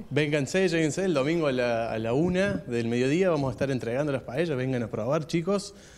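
A man delivers his words with lively intonation at a fairly quick pace. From Argentina, Río Cuarto (Córdoba); Córdoba, Argentina. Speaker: Basque community center member. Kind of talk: radio interview. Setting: on location at community center. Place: hall. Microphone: handheld.

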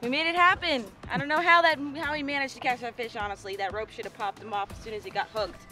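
Over clear background music, a woman with a high pitch speaks at a very fast pace, the sound dry with no echo. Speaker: fishing vlogger. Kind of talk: casual vlog chat. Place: boat. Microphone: phone near.

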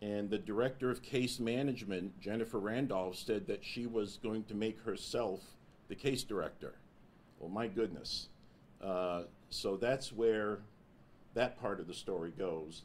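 A man talks in an unremarkable speaking voice, fairly low in pitch with ordinary pitch variation. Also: fairly slow pace. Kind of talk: press conference statement. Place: meeting room. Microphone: podium.

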